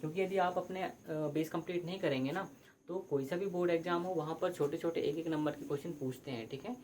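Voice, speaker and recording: A man's high-pitched voice at a moderate pace with ordinary pitch variation and hardly any pauses, amid noticeable background noise and audible room echo. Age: 20s. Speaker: teacher. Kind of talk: lecture. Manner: hesitant, repetitive.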